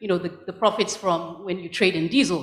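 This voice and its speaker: A woman speaks with a Nigerian accent at a medium pitch. Her pitch varies in an ordinary way. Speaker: law professor. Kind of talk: audience contribution at conference. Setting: conference hall with audience. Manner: halting.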